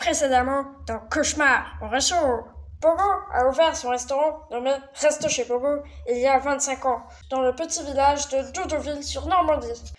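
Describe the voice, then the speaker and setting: A female-sounding cartoonish character voice, high in pitch, speaks at a moderate pace. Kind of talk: TV reality show voice-over. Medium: puppet.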